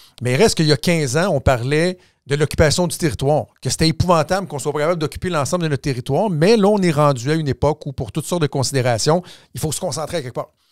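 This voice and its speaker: Very fast speech from a man with a fairly high voice and ordinary pitch variation comes through a very clean recording, silent in the background, with a dry, close sound and no echo. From Quebec, Laval. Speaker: political commentator and former politician. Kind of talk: casual chat. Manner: repetitive stammering restarts.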